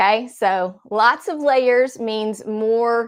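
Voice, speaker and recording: Over a quiet background, a woman with a slight Southern accent speaks at a fairly high pitch with fairly even intonation. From US South, Nashville, Tennessee. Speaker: card-making crafter. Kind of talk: craft tutorial in a live chat.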